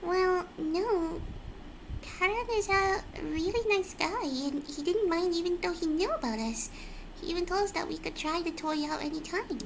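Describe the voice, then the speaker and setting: A woman's put-on character voice, squeaky and extremely high, at a moderate pace over clear background noise. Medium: game stream.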